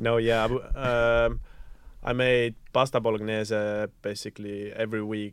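Against a quiet background, a man with an Estonian accent talks at a fairly slow pace in a monotone, flat intonation. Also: medium pitch for a man. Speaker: student council head. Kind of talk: casual chat. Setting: studio. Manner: hesitant, many fillers.

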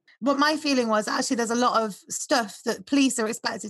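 A woman with a plain, everyday voice talks at a fairly quick pace in a fairly high pitch. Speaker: podcast host. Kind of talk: casual interview chat.

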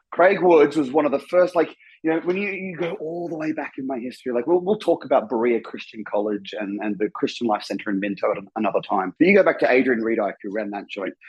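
A man with an Australian accent, fairly high in pitch and animated in tone, with very wide pitch swings, very fast and hardly pausing. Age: 40s. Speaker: former church member. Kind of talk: casual chat.

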